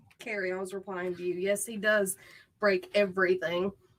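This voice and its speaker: At a moderate pace, a woman speaks with a Southern US accent. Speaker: true crime channel co-host. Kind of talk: casual livestream chat.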